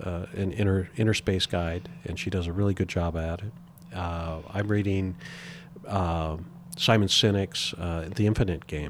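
On a very clean recording with a silent background, a man with a very deep, low voice speaks at a fairly slow pace with fairly even intonation. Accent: American. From US Pacific Northwest (Spokane, Washington). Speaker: company president and CEO. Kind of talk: interview conversation. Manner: hesitant with many fillers and repetitions.

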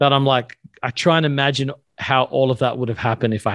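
In a plain, everyday voice, a man talks at a fairly quick pace with ordinary pitch variation and a dry, close sound with no echo. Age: 40s. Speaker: pastor and author. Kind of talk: casual interview.

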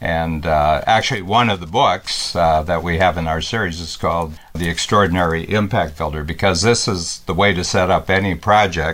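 Amid noticeable background noise, a man with a very deep, low pitch speaks at a moderate pace with fairly even intonation and hardly any pauses. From rural North America, small town farm. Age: 70s. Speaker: company founder and podcaster. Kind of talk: casual conversational talk. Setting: Facebook Live broadcast.

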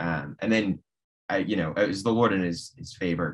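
Delivered at a moderate tempo, the speech shows ordinary pitch variation. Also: man. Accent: American. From Nebraska, US Midwest. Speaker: law student. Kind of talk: interview. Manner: halting.

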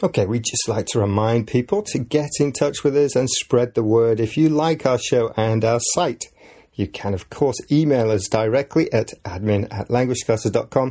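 A man with a dark, mellow tone talks at a moderate pace, his medium pitch showing ordinary variation. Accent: English. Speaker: podcast host and English teacher. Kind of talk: scripted educational podcast narration. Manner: clear, measured for learners.

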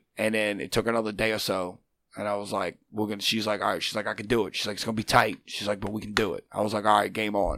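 At a very fast pace, a man with a fairly low pitch for a man speaks in an animated, bright, sharp tone on a very clean recording with a silent background. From Louisiana, near New Orleans. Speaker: wrestler. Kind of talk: casual chat, storytelling. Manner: animated, loud, excitable.

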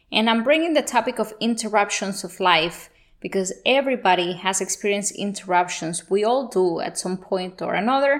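A woman with a Spanish accent speaks at a fairly quick pace and medium pitch, with lively intonation and hardly any pauses. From Colombia (Bogota). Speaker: podcast host. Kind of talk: motivational monologue.

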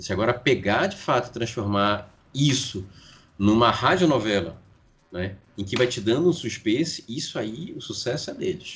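A man's medium-pitched voice at a moderate pace, somewhat breathy, with very wide pitch swings. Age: 40s. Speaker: writer and podcaster. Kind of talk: casual interview.

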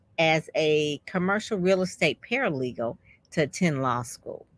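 A woman talks with an American accent in a normal speaking voice at a moderate pace. Her intonation is lively, and the sound is dry and close with no echo. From Detroit. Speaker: podcast host. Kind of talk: interview.

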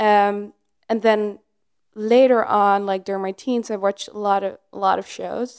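A plain, everyday voice at a moderate pace, set against a quiet background. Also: woman. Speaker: TV series creator. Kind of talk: casual interview chat.

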